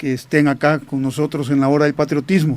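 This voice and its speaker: A man with a fairly high pitch keeps to a moderate pace. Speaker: radio host, retired army officer. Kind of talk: radio talk show.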